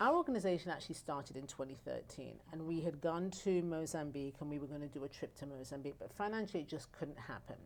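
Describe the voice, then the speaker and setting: A woman's very deep, low voice with an English accent, very fast with hardly any pauses and ordinary pitch variation. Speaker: nonprofit founder. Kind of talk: interview.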